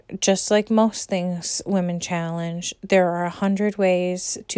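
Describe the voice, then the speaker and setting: On a very clean recording with a silent background and a dry, close sound with no echo, a woman with an American accent speaks at a fairly slow pace in a dark, mellow tone with fairly even intonation. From United States. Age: 30s. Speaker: podcast host. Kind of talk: monologue rant. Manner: scripted reading.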